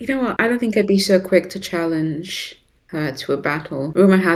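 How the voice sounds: This is a natural reading voice. The words are read out.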